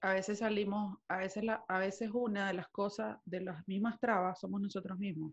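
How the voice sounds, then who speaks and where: Her intonation fairly even, a woman with an ordinary speaking voice talks at a medium pitch and a moderate pace. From Venezuela. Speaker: podcast co-host. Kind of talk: casual chat.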